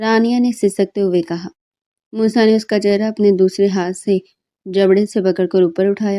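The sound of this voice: An unforced reading voice, fairly even in intonation, over a quiet background.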